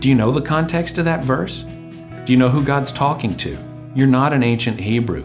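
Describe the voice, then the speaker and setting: Music plays in the background as a man talks at a moderate pace. His pitch is medium and his intonation lively. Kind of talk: religious commentary monologue.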